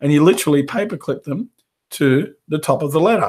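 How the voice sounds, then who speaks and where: A man talks in a somewhat breathy, fairly high voice. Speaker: carpet cleaning business coach. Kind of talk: live webinar training. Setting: live video stream. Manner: casual, conversational.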